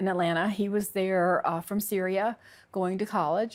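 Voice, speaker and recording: In a Southern US accent, a woman talks at a moderate pace with a medium pitch and monotone, flat intonation. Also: very clean recording, silent background. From US South, Alabama. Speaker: convert sharing her story. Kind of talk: testimony. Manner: halting.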